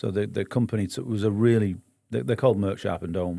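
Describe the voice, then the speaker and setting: A man with a northern English accent, a fairly low pitch, a dark, mellow tone, ordinary pitch variation and a moderate pace. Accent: northern English, non-local. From northern England, Bury, Lancashire near Manchester. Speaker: business owner, entrepreneur. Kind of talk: podcast interview. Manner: hesitant, many fillers.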